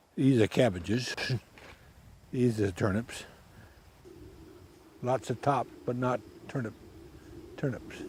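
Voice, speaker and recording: A man with an American accent speaks fairly slowly at a medium pitch, somewhat breathy, with ordinary pitch variation and long, frequent pauses. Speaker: elderly farmer. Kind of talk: casual chat.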